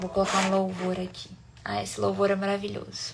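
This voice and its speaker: A woman's voice at a medium pitch. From Brazil, Minas Gerais (Sete Lagoas). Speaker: online devotional leader. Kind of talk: live-stream devotional, casual wrap-up. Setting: live stream.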